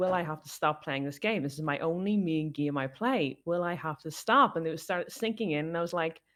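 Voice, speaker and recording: On a very clean recording with a silent background, a woman with a Northern Irish accent speaks at a fairly quick pace, her fairly low pitch carrying lively intonation. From Northern Ireland. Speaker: streamer. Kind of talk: casual chat. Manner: animated.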